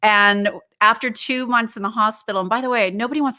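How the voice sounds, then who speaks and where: A woman's fairly high, bright, sharp voice at a very fast pace, in a very clean recording with a silent background. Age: 60s. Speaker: holistic wellness advocate, former interior designer. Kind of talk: interview conversation.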